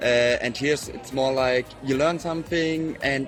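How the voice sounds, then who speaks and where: Over music in the background, a man speaks in a fairly high pitch with monotone, flat intonation. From Germany. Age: 20s. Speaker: exchange student. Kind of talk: interview. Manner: halting.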